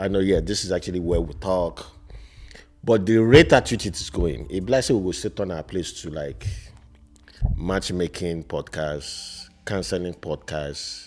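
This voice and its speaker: A man speaks with a very deep, low pitch, lively intonation and vocal fry. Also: moderate pace. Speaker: podcast co-host. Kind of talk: casual chat.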